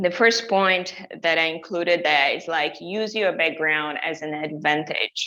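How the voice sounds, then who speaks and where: In a Brazilian accent, a woman with a fairly low pitch and a bright, sharp tone speaks at a very slow pace with ordinary pitch variation. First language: Portuguese. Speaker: journalist and digital content specialist. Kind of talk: webinar presentation. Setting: online webinar. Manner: hesitant, many fillers and restarts.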